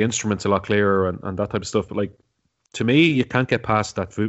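A man in a Dublin accent speaks at a very fast pace. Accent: Dublin Irish. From Ireland, Dublin. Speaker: podcaster. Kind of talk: casual chat.

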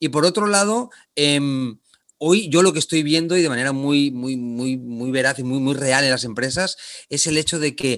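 This man has an unremarkable speaking voice, fairly high in pitch with ordinary variation, talking at a moderate pace against a quiet background. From Spain, Barcelona. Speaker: leadership trainer. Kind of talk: interview.

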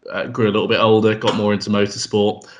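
With a southern English accent, a man speaks at a fairly low pitch in a monotone, flat intonation. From southern England. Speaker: podcast co-host. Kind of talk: casual podcast chat.

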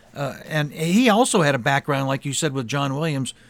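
A man with a plain, everyday voice speaks at a fairly quick pace and fairly high pitch, with ordinary pitch variation on a very clean recording with a silent background. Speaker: podcast host. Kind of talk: interview about film music.

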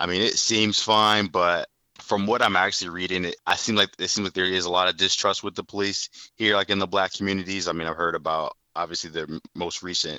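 Speech comes at a fairly quick pace in an American accent. There are hardly any pauses. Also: man, very deep, low pitch for a man, fairly even intonation. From US Midwest, Fort Wayne, Indiana. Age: 30s. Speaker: caller, former track athlete working in sales. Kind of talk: casual interview. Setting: phone call.

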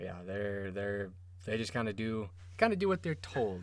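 The speaker has an American accent. Delivery comes at a fairly quick pace. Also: man. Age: 20s. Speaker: podcast host. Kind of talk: casual chat. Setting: studio.

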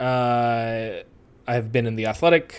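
Speaking with a Western New York accent at a fairly slow pace, a man uses a medium pitch on a very clean recording with a silent background. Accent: Western New York American. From US Northeast, Western New York (Rochester area). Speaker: soccer writer. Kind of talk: casual interview.

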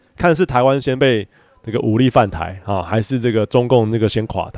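The pitch rises and falls in an ordinary way. The sound is dry and close, with no echo. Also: man. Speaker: podcast co-host, father, photographer. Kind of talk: casual chat.

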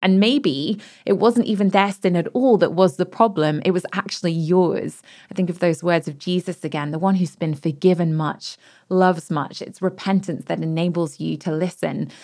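A woman speaks at a fairly low pitch in a dark, mellow tone. The recording is very clean, with a silent background. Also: ordinary pitch variation, moderate pace. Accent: British. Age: 30s. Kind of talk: reflective personal conversation.

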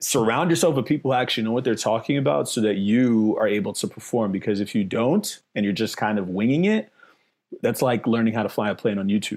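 A man with an American accent talks very fast at a medium pitch. His loudness stays very even, and his pitch varies in an ordinary way. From New York City, the Bronx. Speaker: investing educator, former DJ. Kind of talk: interview.

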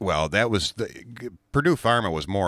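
There is vocal fry in this man's voice as he talks at a moderate pace on a very clean recording with a silent background. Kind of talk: angry rant, exasperated political tirade. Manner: heated, emphatic, exasperated, rising intensity.

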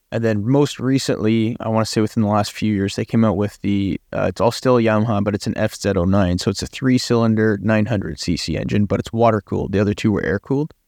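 A man with a western Canadian accent speaks fairly quickly at a fairly low pitch with ordinary pitch variation. The sound is dry and close with no echo, and the background is quiet. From western Canada. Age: 20s. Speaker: amateur racing driver and podcast co-host. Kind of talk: casual chat.

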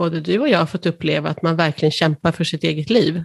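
A woman speaks at a fairly low pitch with vocal fry. The sound is dry and close, with no echo. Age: 60s. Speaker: patient with cystic fibrosis. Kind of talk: interview.

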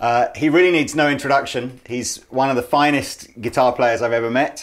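A man speaks at a moderate pace with an English accent. The recording is very clean, with a silent background. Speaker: podcast host. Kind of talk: interview. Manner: halting.

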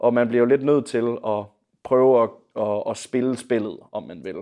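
Medium pitch and fairly even intonation in a man's voice, an unremarkable speaking voice. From Denmark, Viborg. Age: 20s. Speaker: singer-songwriter and bandleader. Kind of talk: casual interview. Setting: conservatory lounge.

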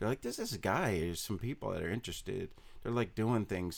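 Very fast speech in an American accent. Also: man. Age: 40s. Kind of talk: casual interview chat. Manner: soft-spoken, humble.

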